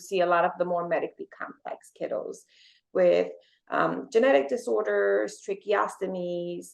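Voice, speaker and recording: At a moderate pace, a woman speaks with a Spanish accent. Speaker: occupational therapist. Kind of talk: podcast interview.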